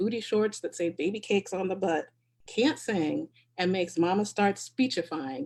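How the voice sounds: The background is quiet. A natural reading voice carries the clip.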